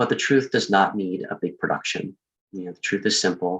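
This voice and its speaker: Soft-spoken, a man talks at a fairly quick pace. His pitch is very deep and low. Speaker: project coordinator presenting. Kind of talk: recorded presentation. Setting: at home, Zoom room recording. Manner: soft-spoken, keeping voice low.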